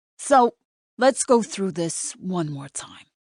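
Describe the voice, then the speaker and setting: A put-on character voice, female-sounding, raspy and drawling, in a New York accent, at a middle pitch and a fairly slow pace. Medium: read story. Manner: drawling, probing.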